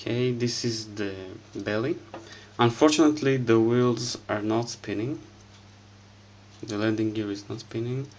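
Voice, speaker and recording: The speaker has a non-native accent and a moderate pace. Long, frequent pauses break up the speech. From Israel. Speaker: scale model collector. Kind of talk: casual unboxing review to camera.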